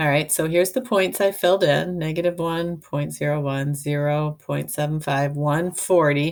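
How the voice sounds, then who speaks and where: A woman with a very deep, low voice speaks with hardly any pauses. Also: ordinary pitch variation, moderate pace. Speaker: math teacher. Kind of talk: tutorial.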